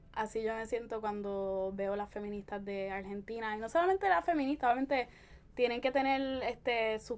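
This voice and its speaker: This is an ordinary speaking voice from a woman, pitched fairly high. She keeps a moderate pace with ordinary pitch variation. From Puerto Rico, Caguas. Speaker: feminist blogger and podcaster. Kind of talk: casual interview.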